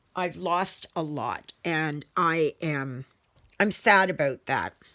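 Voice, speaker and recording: In a Canadian Prairies accent, a bright, sharp voice moves at a very slow pace with ordinary pitch variation. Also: woman, fairly low pitch for a woman, dry, close sound with no echo. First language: German. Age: 60s. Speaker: cross-stitch video creator. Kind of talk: casual vlog chat. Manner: halting, many fillers.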